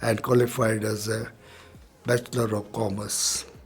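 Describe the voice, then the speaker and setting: Over noticeable background noise, a man with a medium-pitched voice talks at a fairly slow pace in a monotone, flat delivery. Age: 80s+. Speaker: businessman. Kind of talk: interview. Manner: halting.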